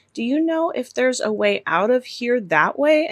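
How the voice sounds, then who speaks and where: In a put-on character voice, a woman speaks quietly at a moderate pace with a high pitch. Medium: read story.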